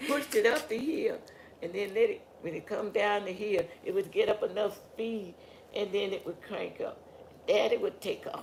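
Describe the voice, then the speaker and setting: A woman at a moderate pace, in a Southern US accent. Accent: Southern US (Georgia). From US South, rural Georgia. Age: 90s. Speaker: family elder interviewed. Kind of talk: oral history interview.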